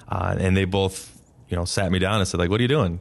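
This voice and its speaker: A man with a Midwestern American accent against a quiet background. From northeast Ohio, US. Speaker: school principal. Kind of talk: casual interview.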